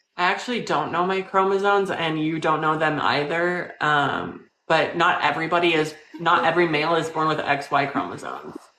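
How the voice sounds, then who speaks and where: Speaking at a fairly quick pace, a woman leaves hardly any pauses. Her pitch is fairly low and intonation fairly even, with audible room echo. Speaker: live stream host interviewing strangers. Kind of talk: casual live stream chat. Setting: live video call.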